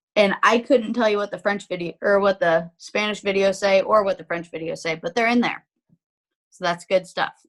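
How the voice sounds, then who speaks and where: The pace of this woman's speech is moderate. Her pitch is medium. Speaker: direct sales team leader giving app training. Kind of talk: tutorial. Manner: animated.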